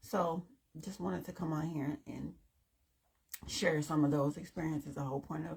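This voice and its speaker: A woman speaks with a very deep, low pitch and vocal fry, her pitch varying in an ordinary way. Her pace is moderate, broken by long, frequent pauses. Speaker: dating podcast host. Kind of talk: casual chat.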